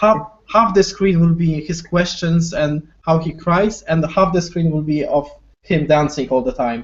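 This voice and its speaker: A man with a Polish accent, high-pitched for a man, at a fairly slow pace with ordinary pitch variation. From Poland. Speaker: wargaming YouTuber. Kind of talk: casual chat.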